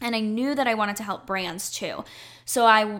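A woman's unremarkable speaking voice, with ordinary pitch variation. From North Carolina. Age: 20s. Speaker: YouTuber and PR agency founder. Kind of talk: interview.

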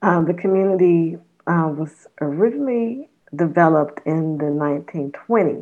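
A woman with an American accent and an ordinary speaking voice, fairly low in pitch, at a fairly slow pace. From Los Angeles, California. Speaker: museum volunteer. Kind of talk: interview.

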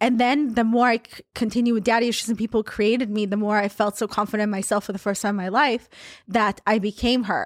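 A woman talks at a very fast pace in a fairly high pitch. Her intonation is monotone and flat, on a very clean recording with a silent background. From Israel (born in Russia). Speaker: meme account creator, former accountant. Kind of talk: casual chat.

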